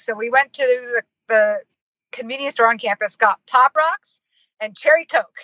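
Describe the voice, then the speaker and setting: A woman with an American accent speaks at a high pitch with fairly even intonation. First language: Finnish. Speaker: marketing consultant and professor. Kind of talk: interview. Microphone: poor audio, may cut out.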